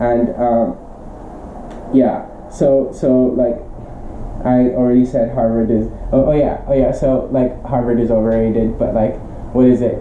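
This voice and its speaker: Over a noticeable hum of background noise, the talking goes fairly slowly and stops often for long breaks. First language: not English. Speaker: teacher and tutor. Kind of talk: casual vlog monologue. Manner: halting, many fillers.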